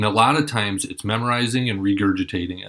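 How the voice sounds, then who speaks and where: Delivered with an American accent, the speech moves at a moderate pace with ordinary pitch variation. The recording is very clean, with a silent background. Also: man. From Minnesota. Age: 40s. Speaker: mayoral candidate. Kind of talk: campaign address to students.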